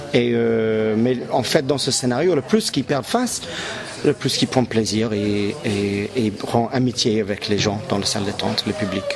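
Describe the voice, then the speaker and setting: At a moderate pace, a man with a fairly low pitch and ordinary pitch variation speaks over noticeable background noise. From English Canada. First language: English (speaking French). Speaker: clown performer. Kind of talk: interview. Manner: halting, searching for words.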